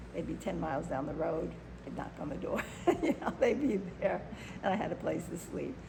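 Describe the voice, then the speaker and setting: A woman speaks with an American accent at a moderate pace. Noticeable background noise sits behind her. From Chicago, Illinois. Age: 70s. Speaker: activist and performer. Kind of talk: interview answer.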